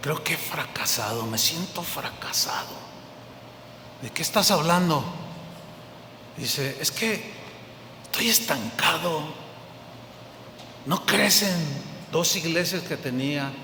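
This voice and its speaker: A man with a fairly high pitch speaks very slowly. Audible room echo and noticeable background noise are present. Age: old. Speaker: pastor. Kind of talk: sermon.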